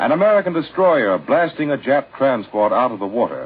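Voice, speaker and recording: The speaker goes at a fairly quick pace. Noticeable background noise runs underneath. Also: man. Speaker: radio announcer. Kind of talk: radio commercial read.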